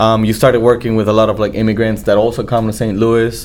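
A man with a medium pitch is heard over noticeable background noise. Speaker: podcast host. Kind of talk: interview for a chamber of commerce show. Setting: studio.

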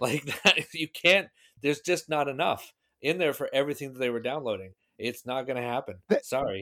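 A man with an American accent speaks at a fairly quick pace, his fairly high pitch, bright, sharp tone and lively intonation heard in a very clean recording with a silent background. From US Pacific Northwest, Seattle. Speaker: podcast guest, tech nerd. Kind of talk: casual chat.

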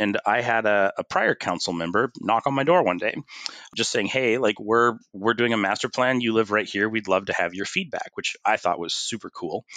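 A man with a Pacific Northwest accent has a bright, sharp tone at medium pitch, recorded in dry, close sound with no echo. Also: quiet background. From US Pacific Northwest, Bothell, Washington. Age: 40s. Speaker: city councilor. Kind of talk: interview conversation.

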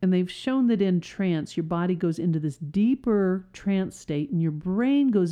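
In an ordinary speaking voice, a woman talks fairly slowly at a fairly low pitch with lively intonation. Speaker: hypnotist and podcast host. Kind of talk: guided hypnosis session. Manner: slow, soothing, repetitive; calm, hushed, hypnotic.

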